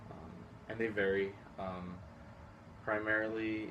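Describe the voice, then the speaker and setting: With noticeable background noise around him, a man talks at a fairly low pitch in a monotone, flat intonation. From Houston, Texas. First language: Spanish. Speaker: high school teacher. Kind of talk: interview.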